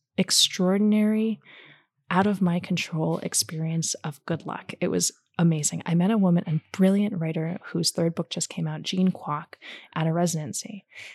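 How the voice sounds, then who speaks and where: Somewhat breathy and fairly low in pitch, a woman with an American accent speaks at a fairly slow pace with ordinary pitch variation, the sound dry and close with no echo on a very clean recording with a silent background. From New Jersey, US. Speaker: novelist. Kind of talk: interview before audience. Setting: bookstore event.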